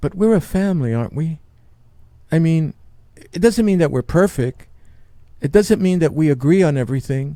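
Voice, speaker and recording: In a New York accent, a man with a dark, mellow tone and fairly high pitch speaks at a moderate pace with lively intonation and long, frequent pauses. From New York City. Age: 70s. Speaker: podcast host and Marine veteran. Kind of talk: personal testimony. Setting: studio.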